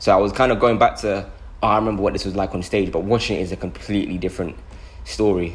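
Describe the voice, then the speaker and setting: A man talks at a very fast pace, his fairly low voice carrying vocal fry over fairly even intonation. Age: 20s. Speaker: actor. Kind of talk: casual chat.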